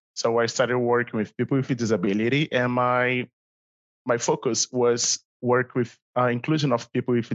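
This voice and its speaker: This man, with a Brazilian accent and a medium pitch, talks at a fairly quick pace. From Brazil, Rio de Janeiro. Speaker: CrossFit athlete. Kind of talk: casual interview. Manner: halting.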